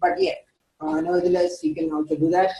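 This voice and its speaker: A woman speaks with lively intonation. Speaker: QA instructor. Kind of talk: lecture. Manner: halting, many fillers.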